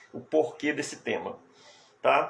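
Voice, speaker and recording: The speaker is a man. Noticeable background noise can be heard behind him. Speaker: hypnotherapist and hypnosis teacher. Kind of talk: live stream talk. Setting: live stream. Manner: soft-spoken.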